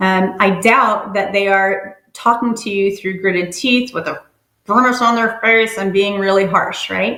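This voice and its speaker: Speaking in a plain, everyday voice with an American accent, a woman keeps a medium pitch, fairly even intonation and a fairly slow pace. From New York (Brooklyn, upstate New York). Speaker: social worker. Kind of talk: workshop presentation. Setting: webinar. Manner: frequent filler 'um'.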